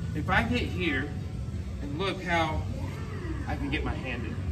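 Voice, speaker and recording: Clear music plays in the background. Over it, a man talks at a fairly slow pace. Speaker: jiu-jitsu instructor. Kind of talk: tutorial. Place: gym. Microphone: camera far.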